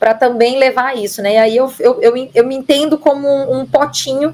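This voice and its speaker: A woman with a Minas Gerais accent, high pitch, ordinary pitch variation and a moderate pace. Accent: Minas Gerais (mineiro) accent, kept. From Minas Gerais, Brazil (interior). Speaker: marketing director. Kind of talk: podcast interview. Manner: upbeat, positive.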